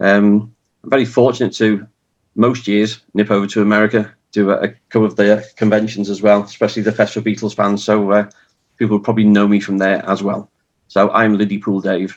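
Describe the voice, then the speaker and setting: Speaking in a Liverpool accent, a man moves at a fairly quick pace. His fairly low voice holds a monotone, flat intonation. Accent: Scouse. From Liverpool, the Dingle. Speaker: author and tour guide. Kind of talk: online panel introduction.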